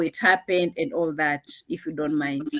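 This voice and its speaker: At a moderate pace, a woman speaks in a Kenyan accent. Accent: Kenyan, unchanged. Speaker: online show host. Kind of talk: interview.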